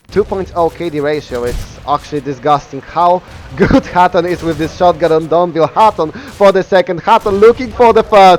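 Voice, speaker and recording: With a Polish accent and hardly any pauses, a man speaks at a high pitch over noticeable background noise. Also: ordinary pitch variation, moderate pace. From Poland. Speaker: esports caster. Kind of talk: live commentary. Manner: halting, many fillers.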